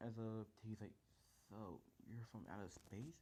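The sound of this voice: An unforced reading voice is heard. It carries the whole recording.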